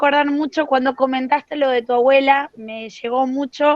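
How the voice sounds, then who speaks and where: The recording is dry and close, with no echo. A woman with a high voice speaks at a moderate pace. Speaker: teacher-training student. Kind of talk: question in class discussion. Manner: talkative.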